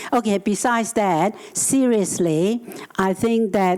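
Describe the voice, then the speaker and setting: Over noticeable background noise, a woman with a Chinese accent speaks with ordinary pitch variation. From Hong Kong. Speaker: housing advocate. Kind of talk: panel discussion. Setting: conference stage with audience.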